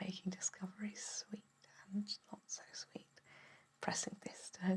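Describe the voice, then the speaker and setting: In a gentle tone, someone whispers at a moderate pace. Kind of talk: ASMR bedtime story reading. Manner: soft-spoken, gentle, whispering.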